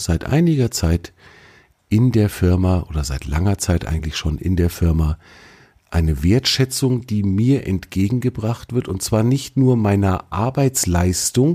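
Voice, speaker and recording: Lively intonation marks this man's fairly low-pitched voice, which has a dark, mellow tone. He speaks at a fairly slow pace. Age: 40s. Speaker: podcast host. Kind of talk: solo podcast monologue. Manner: casual, conversational.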